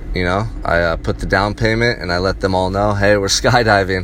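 A fairly quick pace and ordinary pitch variation, with noticeable background noise. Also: man. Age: 30s. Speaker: vlogger. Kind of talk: personal monologue. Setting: in a car. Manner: animated.

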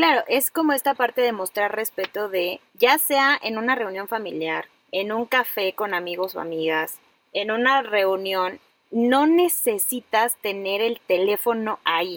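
Speaking at a fairly slow pace in a Mexican accent, a woman with a fairly high pitch uses lively intonation in a dry, close sound with no echo. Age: 30s. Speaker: podcast host, psychologist. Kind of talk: casual chat.

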